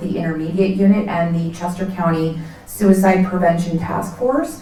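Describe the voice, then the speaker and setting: The speech comes at a fairly quick pace in a flat monotone. Audible room echo and noticeable background noise surround it. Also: woman. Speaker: nonprofit executive director. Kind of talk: presentation to community event audience.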